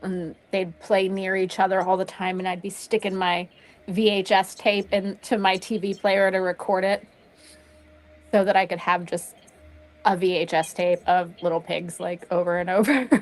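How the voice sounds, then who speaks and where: A woman's medium-pitched voice, flat and monotone, at a moderate pace over background music. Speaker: fan of the band. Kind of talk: casual chat.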